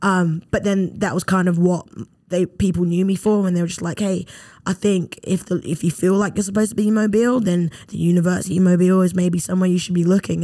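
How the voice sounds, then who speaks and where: In a British accent, a woman speaks at medium pitch with a dark, mellow tone. Her intonation is monotone and flat. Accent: British, noticeable. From London, England. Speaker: former pro footballer, graduate assistant. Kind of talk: casual interview.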